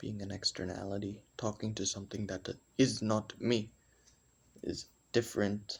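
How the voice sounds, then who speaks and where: A man's fairly low, somewhat breathy voice, flat and monotone, at a moderate pace with long, frequent pauses. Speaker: vlogger. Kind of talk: personal monologue.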